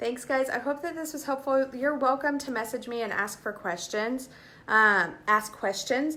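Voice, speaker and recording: Her voice is raised and projected, high-pitched, bright and sharp in tone, and animated, with ordinary pitch variation as this woman talks at a moderate pace. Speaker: direct sales consultant. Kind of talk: live stream Q&A tutorial. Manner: casual, animated.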